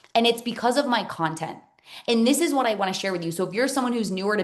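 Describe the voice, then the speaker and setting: Noticeable background noise runs under the recording. A woman talks with ordinary pitch variation. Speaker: business coach. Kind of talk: webinar masterclass. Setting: Zoom live stream. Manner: loud; energetic.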